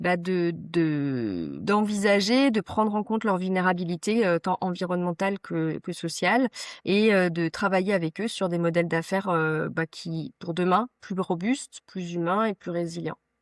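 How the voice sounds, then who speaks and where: A woman of medium pitch at a fairly slow pace, ordinary pitch variation, dry and close with no echo, against a quiet background. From Vosges, eastern France. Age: 40s. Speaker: ecological transition and workplace wellbeing consultant. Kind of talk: podcast interview. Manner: hesitant, many fillers.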